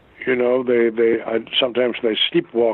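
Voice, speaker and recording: A man talks with a German accent. His pitch is medium. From Germany. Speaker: actor. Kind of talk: interview answer. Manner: passionate.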